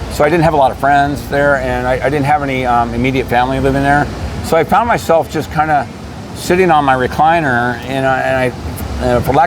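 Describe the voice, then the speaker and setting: A man at medium pitch talks at a very fast pace with ordinary pitch variation. Audible room echo and noticeable background noise fill the recording. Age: 60s. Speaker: interviewee. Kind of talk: interview. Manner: halting.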